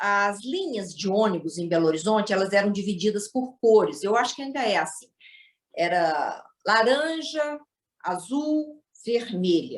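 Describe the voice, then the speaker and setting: A woman's medium-pitched voice with a Minas Gerais accent, fairly slow, with very wide pitch swings. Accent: Minas Gerais (mineiro). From Minas Gerais, Brazil. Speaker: storyteller guest. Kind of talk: storytelling.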